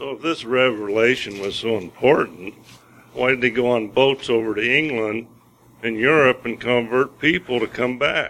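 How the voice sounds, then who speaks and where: The speech comes in a normal speaking voice at a moderate pace, with ordinary pitch variation. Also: man, medium pitch for a man. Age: 60s. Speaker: listener. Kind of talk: testimony.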